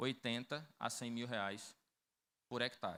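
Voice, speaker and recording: A man's bright, sharp tone at a very slow pace, in a very clean recording with a silent background. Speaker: rural producer and credit project designer. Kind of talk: conference talk.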